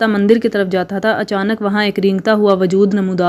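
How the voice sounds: A natural reading voice carries the recording.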